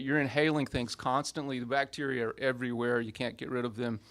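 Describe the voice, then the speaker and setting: In a very clean recording with a silent background, a man speaks at a moderate pace with a Southern US accent. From US South, Montgomery, Alabama. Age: 60s. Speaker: professor. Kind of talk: public science talk. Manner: casual, with many fillers.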